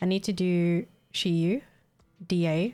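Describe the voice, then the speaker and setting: The speaker has an Australian accent. The recording is very clean, with a silent background. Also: woman. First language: Vietnamese. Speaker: gaming streamer. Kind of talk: casual chat.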